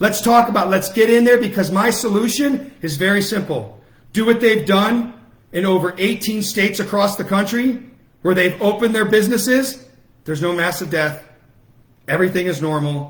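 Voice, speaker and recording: Loud and animated, a man with a high pitch speaks at a moderate pace with ordinary pitch variation amid audible room echo. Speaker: political activist. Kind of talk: livestream rally speech. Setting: Facebook Live broadcast.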